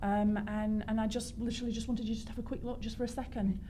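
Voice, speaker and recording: A woman with a South Yorkshire accent talks at a very fast pace in a fairly high pitch, with audible room echo around her. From northern England, South Yorkshire. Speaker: fashion designer. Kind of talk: talk show interview. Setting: radio studio. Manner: animated.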